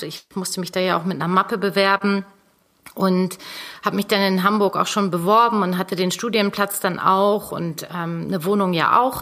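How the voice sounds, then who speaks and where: In a very clean recording with a silent background, a woman with an unremarkable speaking voice talks at a medium pitch with fairly even intonation. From northern Germany, North Sea coast. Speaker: fashion designer, former copywriter. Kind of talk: interview.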